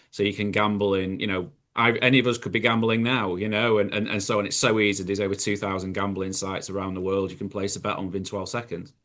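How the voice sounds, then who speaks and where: Very fast and with hardly any pauses, a man with a British accent speaks in a monotone, flat delivery at a fairly low pitch. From UK. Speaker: recovered gambler, gambling harm educator. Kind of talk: panel webinar discussion. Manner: halting, many repetitions.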